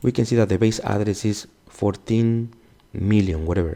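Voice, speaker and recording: A man speaks with a Mexican accent at a moderate pace. His voice is fairly low, dark and mellow in tone, with ordinary pitch variation. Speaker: security instructor. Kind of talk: tutorial. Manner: casual, self-correcting.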